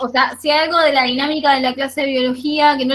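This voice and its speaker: Fairly even intonation at a fairly quick pace. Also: woman. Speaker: biology teacher. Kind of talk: online class discussion. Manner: fast.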